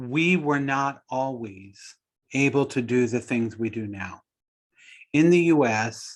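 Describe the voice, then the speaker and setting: Against a quiet background, a man with an American accent talks at a very slow pace with ordinary pitch variation. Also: medium pitch for a man. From Texas. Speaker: nursing professor, presenter. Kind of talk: webinar Q&A.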